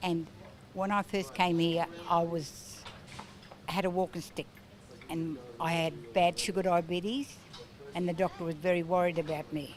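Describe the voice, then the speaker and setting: A woman with an Australian accent speaks at a fairly low pitch and moderate pace, using ordinary pitch variation. Her delivery has long, frequent pauses, and there is noticeable background noise. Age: 70s. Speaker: gym client. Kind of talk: testimony.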